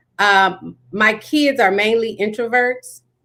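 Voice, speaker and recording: Loud and fairly slow, a woman speaks with a fairly high pitch and a bright, sharp tone. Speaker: talk show host. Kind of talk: casual chat.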